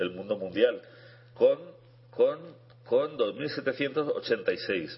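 A man talks at a very slow pace, with long, frequent pauses. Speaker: chess radio co-host, international master. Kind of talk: casual radio chat. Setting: radio studio.

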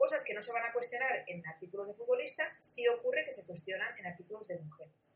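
A woman talking very fast with hardly any pauses and big swings in loudness. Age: 40s. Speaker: communication and social media expert, Wikipedia project coordinator. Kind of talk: interview. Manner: halting.

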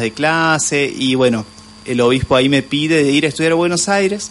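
A man speaks at a fairly slow pace with ordinary pitch variation. There is noticeable background noise. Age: 40s. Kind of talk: radio interview. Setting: radio studio. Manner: hesitant, many fillers.

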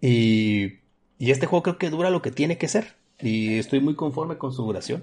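Against a quiet background, a man speaks at a moderate pace with a northwestern Mexican accent. His pitch is fairly high and his intonation lively. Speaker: power plant supervisor and fighting game streamer. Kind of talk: casual chat.

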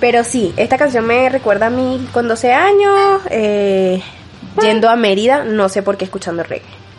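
A woman with a fairly high pitch and lively intonation speaks at a moderate pace over noticeable background noise. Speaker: podcast co-host. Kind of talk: casual chat.

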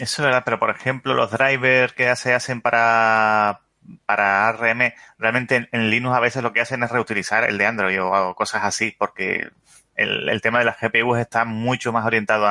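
A man with a Canarian accent speaks at a moderate pace and medium pitch, in a bright, sharp tone with monotone, flat intonation and very even loudness. The sound is dry and close with no echo, over a quiet background. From Canary Islands, Spain. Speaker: podcast guest. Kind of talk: casual tech discussion.

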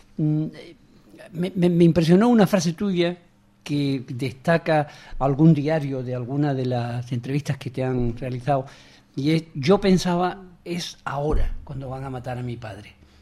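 This man has a fairly high pitch and a dark, mellow tone. His pitch varies in an ordinary way while his loudness swings widely. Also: fairly slow pace. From Cádiz, Andalusia. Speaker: radio host. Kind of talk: radio interview. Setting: radio studio.

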